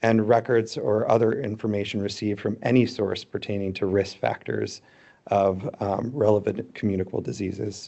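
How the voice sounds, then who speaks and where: Vocal fry runs through a man's fairly low-pitched voice, which keeps a fairly even intonation. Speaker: conference speaker on donor tissue safety. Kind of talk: conference presentation. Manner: fast.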